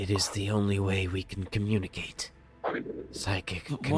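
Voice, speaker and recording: The man adopts a put-on character voice, pitched fairly low and paced moderately. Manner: terse, broken telepathic speech.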